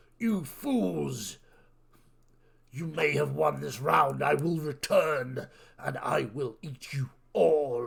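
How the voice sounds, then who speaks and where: Bellowing in a put-on character voice, a man speaks at a medium pitch. His pace is very slow, with long, frequent pauses. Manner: menacing.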